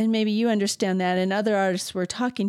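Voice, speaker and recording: A woman at a medium pitch with fairly even intonation speaks in an ordinary speaking voice on a very clean recording with a silent background. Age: 60s. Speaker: sculptor and art teacher. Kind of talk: interview.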